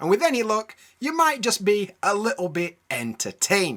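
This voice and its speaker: A man with a British accent talks at a moderate pace, using a high pitch and very wide pitch swings. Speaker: English teacher. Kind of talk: educational podcast talk. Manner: casual, friendly.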